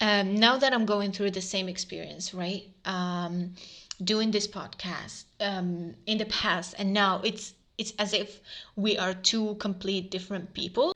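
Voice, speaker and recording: A woman's medium-pitched, bright and sharp voice in an Arabic accent, monotone and flat, at a fairly slow pace. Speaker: podcast host. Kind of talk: casual monologue. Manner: hesitant, many fillers.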